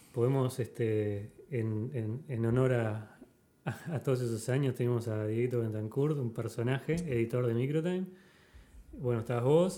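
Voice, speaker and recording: A man talks at a moderate pace and medium pitch. His tone is dark and mellow, with ordinary pitch variation. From Uruguay, Montevideo. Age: 30s. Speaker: podcast host. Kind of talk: casual chat.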